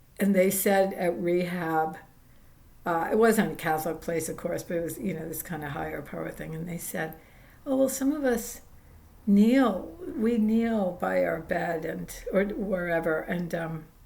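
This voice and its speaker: A woman's fairly low-pitched voice at a fairly slow pace, with lively intonation and audible room echo. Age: 70s. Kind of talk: casual spiritual vlog talk. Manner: halting, many fillers.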